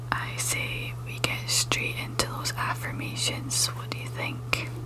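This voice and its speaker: A soft-spoken woman whispers at a fairly slow pace. There is noticeable background noise. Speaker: ASMR creator. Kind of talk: ASMR positive affirmations. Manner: whispering, soft.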